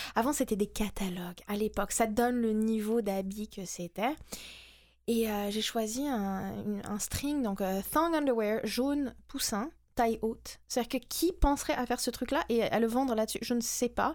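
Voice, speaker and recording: On a very clean recording with a silent background, a woman uses a normal speaking voice with ordinary pitch variation. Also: fairly high pitch for a woman, fairly slow pace. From France and the US. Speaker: SEO specialist. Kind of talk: interview.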